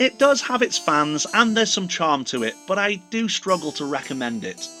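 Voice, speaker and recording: A man speaks in a raised, projected voice at a high pitch and moderate pace. His pitch swings very widely over music in the background. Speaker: horror movie reviewer. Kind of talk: casual talk to camera. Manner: humorous.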